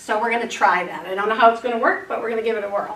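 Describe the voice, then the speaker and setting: A woman speaks, with audible echo from the room around her. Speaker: teacher. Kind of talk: presentation to school board.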